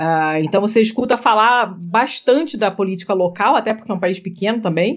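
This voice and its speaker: Barely pausing, a woman talks with ordinary variation in her pitch. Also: medium pitch for a woman. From Rio de Janeiro, Brazil. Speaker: podcaster. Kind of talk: casual chat. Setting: remote recording.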